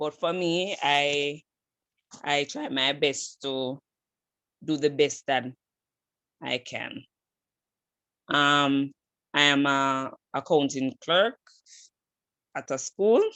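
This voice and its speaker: Very deep and low in pitch, a woman speaks very slowly with long, frequent pauses and fairly even intonation. Her tone is bright and sharp, and the sound is dry and close with no echo. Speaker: student. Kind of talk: self-introduction in online class. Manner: halting, many fillers.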